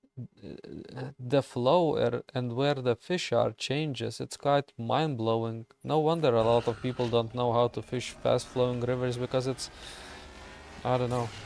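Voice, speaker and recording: In a Lithuanian accent, a man speaks fairly slowly at a medium pitch with fairly even intonation, the sound dry and close with no echo. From Lithuania, village. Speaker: gaming streamer. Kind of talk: casual chat while gaming livestream.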